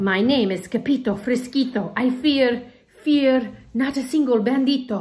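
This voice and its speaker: A shaky, put-on character voice moves at a moderate pace with ordinary pitch variation. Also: woman, high pitch for a woman. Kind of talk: read-aloud storytime. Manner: very soft, trembling with fear.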